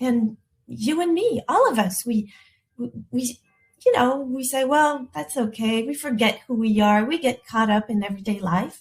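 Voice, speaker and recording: A woman with a French accent speaks at a fairly slow pace. Her pitch is fairly high and her intonation lively. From France, partly raised in the US. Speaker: elegance coach. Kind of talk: live webinar talk. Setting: livestream with chat. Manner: halting, frequent repetitions.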